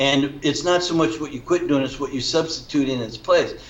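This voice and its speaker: Over noticeable background noise, a man with a fairly high pitch speaks at a fairly quick pace with fairly even intonation. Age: 60s. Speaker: functional nutrition practitioner. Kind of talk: interview.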